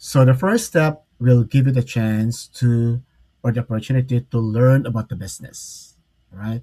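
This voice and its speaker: A man's somewhat breathy, dark and mellow voice at a medium pitch, with a Filipino accent and a moderate pace. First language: Tagalog. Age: 60s. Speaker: online business mentor. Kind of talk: live stream talk. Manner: halting, many fillers.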